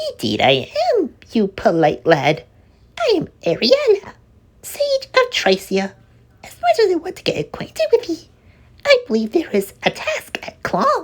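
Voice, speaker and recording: A man speaks in a put-on character voice. It sounds squeaky. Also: moderate pace. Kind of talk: archaic formal speech. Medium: read story. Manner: firm yet kindly.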